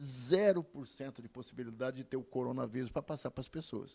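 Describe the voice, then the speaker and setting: A man talks with a dark, mellow tone at a medium pitch. His intonation is lively. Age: 70s. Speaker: medical doctor. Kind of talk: TV interview.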